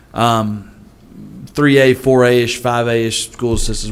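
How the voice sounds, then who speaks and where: A man's medium-pitched voice in a Southern accent, with ordinary pitch variation. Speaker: school superintendent. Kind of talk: board meeting discussion.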